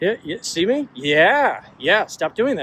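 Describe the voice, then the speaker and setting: A man speaks loudly at a fairly slow pace with lively intonation, over noticeable background noise. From Washington DC area, US. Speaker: author and agile coach. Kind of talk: casual vlog monologue. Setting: outdoors, walking with a gimbal. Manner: hesitant, many fillers.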